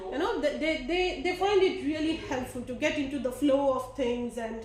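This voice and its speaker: Audible room echo surrounds a voice with ordinary pitch variation that moves at a moderate pace. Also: woman. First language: not English. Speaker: teacher. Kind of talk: lesson reflection. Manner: halting, many fillers.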